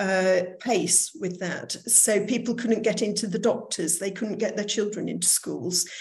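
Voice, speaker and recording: Room echo is audible around a woman's voice. She speaks at a medium pitch with fairly even intonation. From northern England, Manchester. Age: 60s. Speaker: recruitment business owner. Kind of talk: online lecture.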